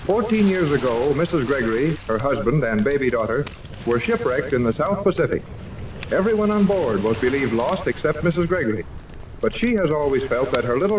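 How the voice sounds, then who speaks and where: The speech comes at a fairly quick pace with very wide pitch swings and very even loudness. Noticeable background noise runs underneath. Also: man, fairly high pitch for a man. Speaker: radio announcer. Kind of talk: old time radio serial narration.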